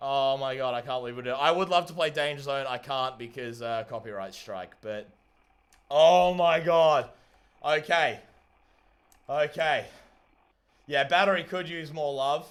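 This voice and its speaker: The recording is very clean, with a silent background. A man speaks at a fairly high pitch and moderate pace, with ordinary pitch variation, big swings in loudness and long, frequent pauses. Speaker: livestreamer building a DIY solar rover. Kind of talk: live stream commentary. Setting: live stream. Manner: excited, exclamatory.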